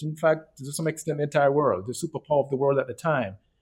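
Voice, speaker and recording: A man is talking. His pace is very fast. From Canada, Toronto. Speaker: Bible study participant. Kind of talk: Bible study discussion. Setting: video call.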